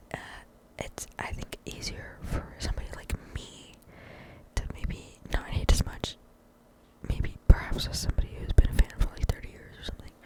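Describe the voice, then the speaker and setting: Whispering at a moderate pace with long, frequent pauses, a woman is heard against noticeable background noise. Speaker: ASMR creator. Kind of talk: casual talk to camera. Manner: whispered.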